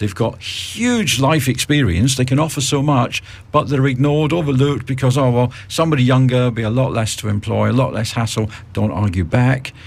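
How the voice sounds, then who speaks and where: A man talks fairly quickly in a somewhat breathy voice. His pitch is medium, with ordinary variation. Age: 50s. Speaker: radio host. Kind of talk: radio interview. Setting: radio studio.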